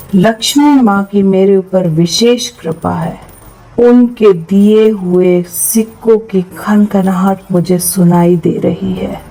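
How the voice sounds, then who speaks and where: Calm in tone, a woman speaks at a medium pitch with ordinary pitch variation over noticeable background noise. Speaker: happiness coach. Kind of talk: affirmation meditation read. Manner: slow, calm.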